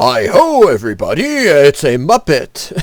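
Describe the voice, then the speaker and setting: A man puts on a character voice pitched high. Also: moderate pace. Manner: cheerful, exaggerated.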